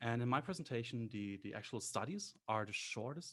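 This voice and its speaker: A man's somewhat breathy, medium-pitched voice with a non-native accent and lively intonation. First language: not English. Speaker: graduate student, competition finalist. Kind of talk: panel discussion.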